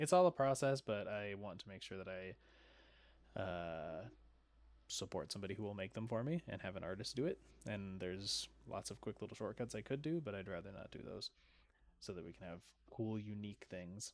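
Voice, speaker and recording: A man with a fairly low pitch on a very clean recording with a silent background. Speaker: video game streamer. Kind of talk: casual live-stream commentary. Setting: live stream. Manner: fast.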